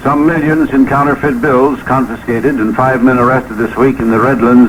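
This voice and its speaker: Through noticeable background noise, a man with an American accent talks at a fairly quick pace, at medium pitch with ordinary pitch variation. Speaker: radio news broadcaster. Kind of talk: radio newscast.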